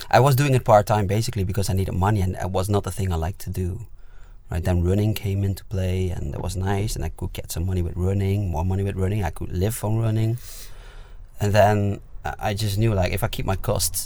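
Over noticeable background noise, a man with a fairly low pitch speaks at a fairly quick pace with fairly even intonation. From Netherlands. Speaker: musician. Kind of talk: casual chat. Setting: inside a parked van.

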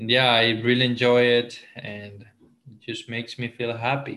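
A man speaks with a Spanish accent. His voice sits at a medium pitch. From Ecuador, coastal Esmeraldas. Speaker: entrepreneur. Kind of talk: casual interview. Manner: halting.

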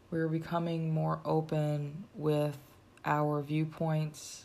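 The tone is dark and mellow, and the pace is very slow. Delivery stays monotone, with flat intonation. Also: woman. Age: 30s. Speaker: podcast host and filmmaker. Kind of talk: solo podcast monologue. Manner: casual, conversational.

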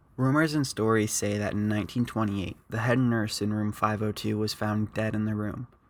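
This man uses an ordinary speaking voice, fairly low in pitch, talking at a fairly quick pace with hardly any pauses and fairly even intonation on a very clean recording with a silent background. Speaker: podcast host. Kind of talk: true-crime horror narration, scripted-style storytelling read to listeners. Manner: measured, ominous, steady pacing with a spooky storyteller tone; casual and friendly when chatting with listeners at the end.

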